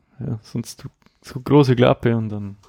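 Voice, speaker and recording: The sound is dry and close, with no echo. A man speaks with a Bavarian accent and fairly even intonation. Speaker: podcast host. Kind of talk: casual chat.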